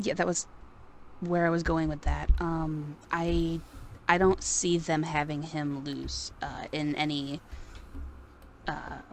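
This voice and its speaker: Soft-spoken and monotone, a woman with a very deep, low voice talks at a very slow pace, leaving long, frequent pauses. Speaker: podcast co-host, wrestling fan. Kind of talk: casual chat. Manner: quiet, soft-spoken.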